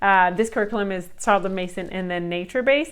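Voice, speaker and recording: The speaker has a non-native accent. The intonation stays fairly even. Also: woman, quiet background. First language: not English. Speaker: homeschooling mom and video creator. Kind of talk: casual vlog review. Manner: hesitant, many fillers.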